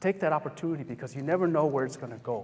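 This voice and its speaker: This is a man's voice. He has an American accent. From US Hmong American community. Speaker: psychologist and motivational speaker. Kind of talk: public talk with Q&A. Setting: campus event with live audience. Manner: conversational.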